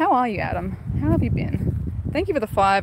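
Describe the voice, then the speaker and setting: A woman talks at a fairly quick pace with an Australian accent. The sound is dry with no echo, over loud background noise. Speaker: gaming streamer. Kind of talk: live stream chat. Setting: outdoors. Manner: animated.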